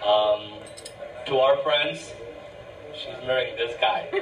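Clear music sits in the background. Over it, a man speaks at a fairly slow pace. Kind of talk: speech at a celebration. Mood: warm, fond, a bit emotional. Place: hall.

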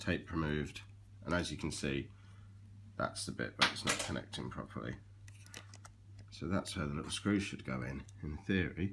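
There is light background noise as a man talks at a moderate pace. His intonation is lively, with vocal fry. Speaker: vlogger. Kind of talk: casual vlog chat. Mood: light, self-mocking. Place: home room. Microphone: phone near.

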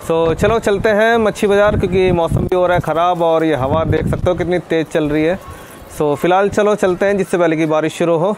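Speaking at a fairly quick pace, a man with a high pitch and a slightly mellow tone shows ordinary pitch variation over faint background noise.

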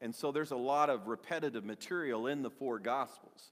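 A man takes a fairly slow pace in front of a quiet background. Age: 60s. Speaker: pastor. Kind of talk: sermon. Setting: church. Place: church.

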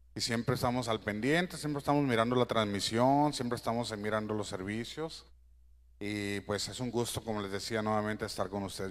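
A man's fairly low voice at a fairly quick pace, with ordinary pitch variation. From Mexico, Sinaloa (Guamúchil); Sinaloa. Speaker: church musician. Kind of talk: church greeting. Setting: church. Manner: halting. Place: church.

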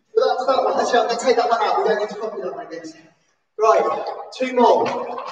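Light background noise and audible room echo surround a woman's speech. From England. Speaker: PE teacher at a special school. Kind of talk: live-stream seated exercise class, calling out football celebration poses to copy. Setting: live stream from home during lockdown. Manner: animated, cheerful cheerleading with whoops and shout-outs; rambling, self-interrupting chatty asides. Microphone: camera far.

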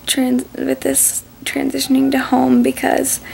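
Soft-spoken and weary in tone, a woman talks at a fairly slow pace over light background noise. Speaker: vlogger sharing personal update. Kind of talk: casual vlog chat. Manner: soft, weary voice while recovering in bed. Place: home room. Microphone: phone near.

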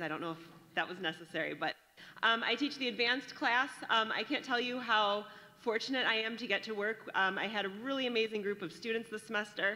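The speaker talks at a fairly quick pace. Pitch variation is ordinary. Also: woman, fairly high pitch for a woman. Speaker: teacher of the advanced class; presenter introducing student speakers at a graduation ceremony. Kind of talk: warm, enthusiastic public speech. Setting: graduation ceremony, speaking to an audience. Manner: loud. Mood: warm, enthusiastic, smiling. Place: hall.

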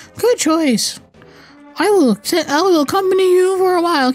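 Someone speaks in a put-on character voice that sounds strained, at a fairly slow pace. Faint music plays in the background. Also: man, extremely high pitch for a man.

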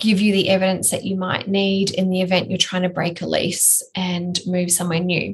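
Somewhat breathy, the voice carries an Australian accent and a monotone, flat intonation. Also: woman. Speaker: building biologist and podcast co-host; podcast co-host. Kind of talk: casual educational chat. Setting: remote recording with sketchy internet. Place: office.

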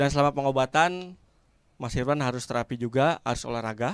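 A deadpan tone at a moderate pace with fairly even intonation, dry and close with no echo. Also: man. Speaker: stand-up comedian. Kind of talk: stand-up comedy set. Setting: stage with audience. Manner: deadpan storytelling, acting out dialogues with doctor, punchline-driven.

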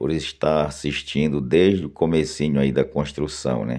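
A man speaks with a very deep, low pitch and a dark, mellow tone. Vocal fry runs through his voice. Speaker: video channel host promoting a social club. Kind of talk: sales pitch, outdoor video tour. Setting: outdoors, filming on site with drone.

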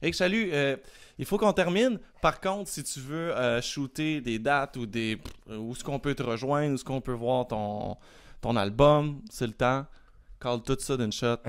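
A man's lively intonation stands out in a quiet background. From Quebec. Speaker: podcast host. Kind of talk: casual interview; casual vlog chat.

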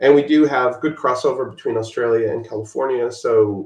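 Audible room echo surrounds a man's somewhat breathy voice, which has ordinary pitch variation. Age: 60s. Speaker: visual effects supervisor. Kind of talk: casual interview. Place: home room. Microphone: video call.

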